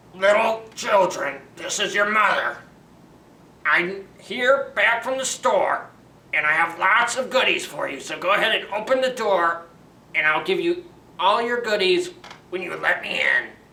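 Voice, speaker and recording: A put-on character voice at a fairly high pitch and a moderate pace. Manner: falsely sweet, coaxing.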